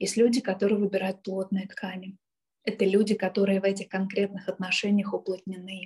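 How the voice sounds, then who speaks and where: At a fairly quick pace, a woman speaks in a medium pitch with a somewhat breathy voice and monotone, flat intonation. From Kyiv, Ukraine. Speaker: art therapist and trainer. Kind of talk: interview.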